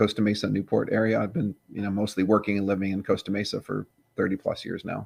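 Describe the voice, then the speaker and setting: A man with an American accent and a fairly low pitch speaks at a very fast pace, the sound dry and close with no echo. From Southern California (LA, Orange County). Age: 60s. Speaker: veteran pro skateboarder and skateboard manufacturer. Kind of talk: casual interview chat.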